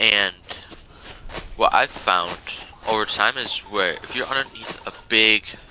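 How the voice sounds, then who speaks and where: A soft-spoken man at a fairly slow pace, with noticeable background noise. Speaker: gaming youtuber. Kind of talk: tutorial. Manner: casual, halting.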